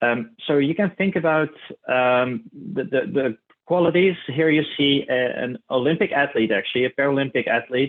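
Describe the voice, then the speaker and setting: Lively intonation carries a Dutch accent. The pace is fairly quick. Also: man. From Netherlands, Tilburg area (south). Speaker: clinical research specialist. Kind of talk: keynote presentation. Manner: hesitant, many fillers.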